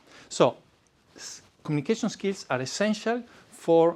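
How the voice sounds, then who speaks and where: An Italian-accented man talks at a moderate pace. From Italy. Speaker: public speaking coach. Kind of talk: presentation. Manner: hesitant with fillers.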